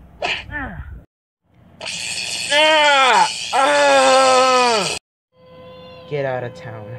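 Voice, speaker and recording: A cartoonish character voice pitched fairly high. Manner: pained, exclamatory.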